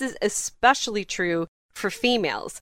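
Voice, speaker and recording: A woman talks in an animated tone, the sound dry and close with no echo. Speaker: podcast co-host. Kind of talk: casual chat, news roundup. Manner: laughs often, animated.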